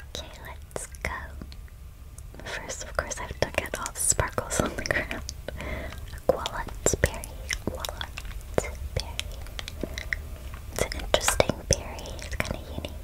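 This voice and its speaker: A woman whispers in a soft-spoken way. She leaves long, frequent pauses. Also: moderate pace. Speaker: gamer streamer. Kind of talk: casual gameplay commentary. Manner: soft close ASMR whisper. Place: home room.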